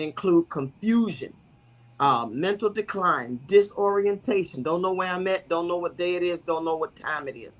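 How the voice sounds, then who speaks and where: A woman speaks in an unremarkable speaking voice. Her pitch varies in an ordinary way. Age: 60s. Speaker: bishop and guest speaker. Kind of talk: talk-show explainer on health.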